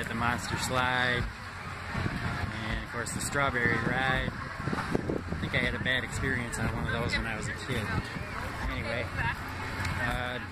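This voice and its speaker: Loud background noise behind a man talking at a fairly slow pace, with long, frequent pauses. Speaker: vlogger filming a walk. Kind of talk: casual vlog chat. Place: street. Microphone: phone near.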